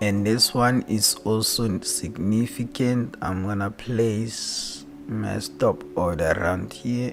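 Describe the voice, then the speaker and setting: With music in the background, a man with a non-native accent speaks at a very slow pace with hardly any pauses, his fairly low voice carrying lively intonation. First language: not English. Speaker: trading analyst streamer. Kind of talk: live stream tutorial. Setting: live stream. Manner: casual, repetitive.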